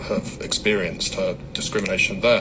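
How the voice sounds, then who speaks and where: The speaker has an English accent. Noticeable background noise and audible room echo fill the recording. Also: man. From England, London. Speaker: community activist. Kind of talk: radio interview. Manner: halting, many fillers and repeats.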